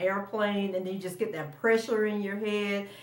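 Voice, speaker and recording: Over noticeable background noise and audible room echo, a woman talks at a moderate pace in a medium pitch with fairly even intonation. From Florida. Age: 50s. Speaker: vlogger. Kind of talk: personal storytelling vlog. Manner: casual, conversational with fillers.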